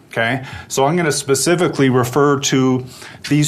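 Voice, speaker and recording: Moderate speed, ordinary variation in pitch and a medium-pitched male voice, with audible echo from the room and noticeable noise behind it. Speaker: atmospheric science researcher. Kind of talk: lecture. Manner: loud.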